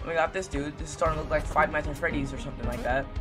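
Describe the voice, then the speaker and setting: A man is speaking. Music plays in the background. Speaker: gamer. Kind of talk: gameplay commentary.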